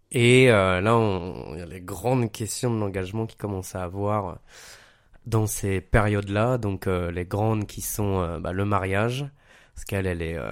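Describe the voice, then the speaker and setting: A man with a plain, everyday voice and fairly low pitch talks at a fairly slow pace in a very clean recording with a silent background. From Paris. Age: 30s. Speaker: podcast guest. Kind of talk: casual chat.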